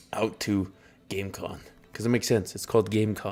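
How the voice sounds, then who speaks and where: A man with a western Canadian accent, fairly low in pitch, with fairly even intonation. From southern Alberta, Canada. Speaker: streamer and cosplayer. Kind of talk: casual live-stream chat.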